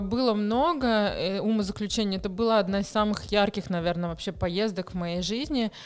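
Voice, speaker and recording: A woman at a medium pitch talks with hardly any pauses. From Moscow, Russia. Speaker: charity founder. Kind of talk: interview. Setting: studio.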